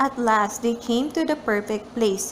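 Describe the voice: A woman talks at a fairly slow pace and fairly high pitch. Room echo is audible in the recording.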